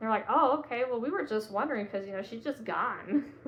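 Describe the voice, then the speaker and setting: A woman in a Southern US accent with lively intonation. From Georgia, US. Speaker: psychic medium. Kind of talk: casual talk to camera.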